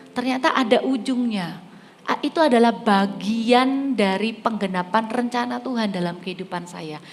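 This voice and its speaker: This woman has a fairly high pitch and ordinary pitch variation. Noticeable background noise and audible room echo are present. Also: moderate pace. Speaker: preacher. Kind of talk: sermon.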